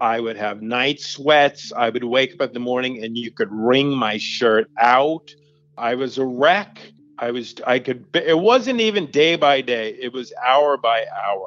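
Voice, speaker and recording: A man's unremarkable speaking voice, medium in pitch, with ordinary pitch variation and a fairly slow pace. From US Northeast, Long Island, New York. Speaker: youth services director, storyteller and author. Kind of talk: personal testimony interview.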